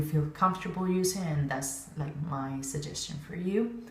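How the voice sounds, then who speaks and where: A woman speaks with a non-native accent and a very deep, low pitch. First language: not English. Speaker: synchronized swimming coach. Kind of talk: casual talk to camera. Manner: hesitant, many fillers.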